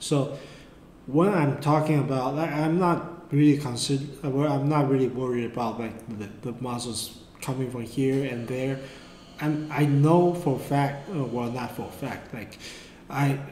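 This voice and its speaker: A man's fairly high-pitched voice with a Mandarin accent and fairly even intonation, plus noticeable background noise and audible room echo. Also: fairly slow pace. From Taiwan. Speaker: art tutor. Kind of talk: tutorial. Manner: halting.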